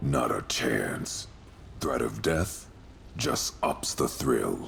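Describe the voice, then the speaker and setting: A man growls in a put-on character voice with a very deep, low pitch at a very slow pace. Clear background noise runs behind him. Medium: video game. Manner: gruff, amused.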